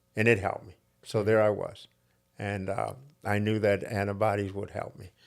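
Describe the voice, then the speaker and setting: In a very clean recording with a silent background, a man speaks at a fairly low pitch with vocal fry, monotone, flat intonation and a moderate pace. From northern Ohio, US. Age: 70s. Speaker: holistic practitioner. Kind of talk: interview.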